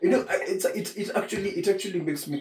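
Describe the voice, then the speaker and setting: A somewhat breathy man talks at a moderate pace with lively intonation. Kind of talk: casual chat.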